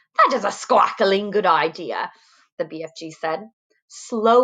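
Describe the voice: Someone reads aloud plainly, and the background is quiet.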